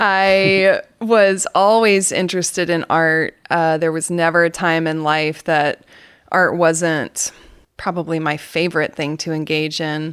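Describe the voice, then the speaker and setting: Against a silent background on a very clean recording, a woman with an American accent speaks fairly slowly in a fairly low voice with fairly even intonation. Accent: Southern US, comes out occasionally. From US South, Atlanta, Georgia. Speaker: photographic artist. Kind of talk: interview. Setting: podcast.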